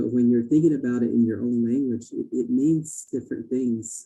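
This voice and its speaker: A dark, mellow tone with a Navajo Nation accent. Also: man. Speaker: Native education participant. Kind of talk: listening session comment. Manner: halting, many fillers and repeats.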